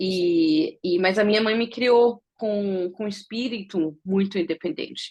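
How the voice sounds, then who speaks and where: A woman speaks in an unremarkable speaking voice at a fairly slow pace. Her pitch varies in an ordinary way. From Germany, Brazilian mother from Bahia. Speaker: visually impaired traveler interviewed about accessibility. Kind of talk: interview conversation.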